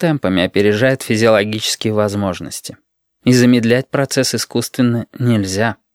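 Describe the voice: The background is quiet during this plain reading aloud.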